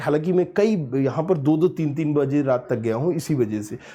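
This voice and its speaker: Over a quiet background, a man with a dark, mellow tone and fairly high pitch speaks with lively intonation. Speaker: education youtuber. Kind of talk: casual vlog talk. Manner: conversational, code-mixing Hindi and English.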